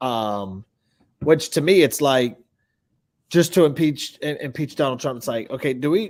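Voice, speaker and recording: A man with a Southern accent, fairly high-pitched and lively in intonation, at a moderate pace with long, frequent pauses, on a very clean recording with a silent background. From Texas. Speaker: podcast co-host. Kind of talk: casual chat.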